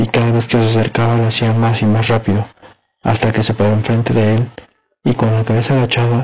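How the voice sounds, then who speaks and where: Somewhat breathy and monotone with flat intonation, the voice moves at a fairly quick pace and holds a very even loudness. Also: man, medium pitch for a man. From Mexico. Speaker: storyteller reading a horror tale. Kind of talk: ghost story telling, scripted-sounding narration of a campus horror tale.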